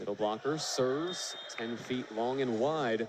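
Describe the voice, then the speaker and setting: A man talks at a moderate pace and a medium pitch. His pitch varies in an ordinary way, with noticeable background noise. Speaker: volleyball play-by-play announcer. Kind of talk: live sports play-by-play commentary.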